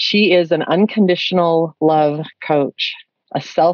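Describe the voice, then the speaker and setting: A woman speaks with ordinary pitch variation. The sound is dry, with no echo. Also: quiet background. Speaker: podcast host. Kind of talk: interview. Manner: animated. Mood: warm, smiling. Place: home room.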